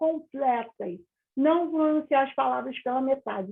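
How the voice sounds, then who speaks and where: This is a woman speaking. Her pace is fairly slow. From Rio de Janeiro, Brazil. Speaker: English teacher. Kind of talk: interview. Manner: calm, moderate pace.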